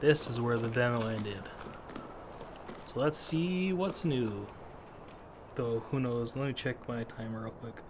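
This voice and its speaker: Soft-spoken, a man of medium pitch talks at a moderate pace with lively intonation and long, frequent pauses. Noticeable background noise is present. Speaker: gaming video creator. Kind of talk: let's play commentary.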